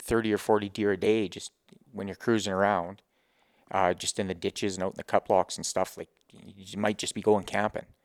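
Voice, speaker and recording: In a dry, close sound with no echo, a man with a western Canadian accent speaks fairly quickly at a fairly low pitch, his intonation monotone and flat but his loudness swinging widely. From Grande Prairie area, Alberta, Canada. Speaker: hunting outfitter and guide. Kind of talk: casual chat. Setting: in a home.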